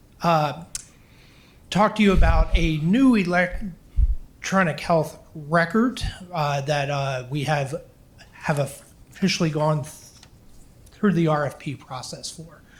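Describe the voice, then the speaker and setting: The delivery is very slow. Pitch varies in an ordinary way. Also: man. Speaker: school district health services director. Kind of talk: presentation to school board. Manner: halting, repeated words.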